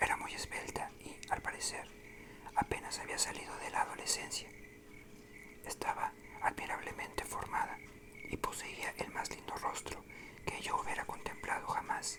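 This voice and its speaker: Someone whispers at a moderate pace, with long, frequent pauses. Noticeable background noise sits underneath. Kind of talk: whispered ASMR book reading. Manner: whispered, soft, relaxing.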